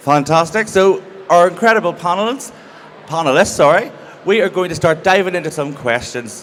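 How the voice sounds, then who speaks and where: A man with a Northern Irish accent at a high pitch, ordinary pitch variation and moderate pace, amid noticeable background noise. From Northern Ireland. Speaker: panel host. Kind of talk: panel moderation. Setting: stage with audience.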